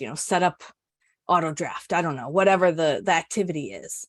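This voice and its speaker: Against a quiet background, a woman with an unremarkable speaking voice talks at a medium pitch with ordinary pitch variation, the sound dry and close with no echo. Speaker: customer experience executive presenting a webinar. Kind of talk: webinar presentation with Q&A. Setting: online webinar.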